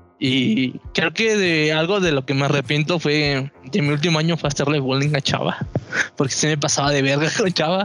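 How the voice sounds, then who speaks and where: A man with a Mexican accent at a fairly high pitch, moderate pace, ordinary pitch variation and very even loudness, over noticeable background noise. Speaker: podcast host. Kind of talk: casual chat.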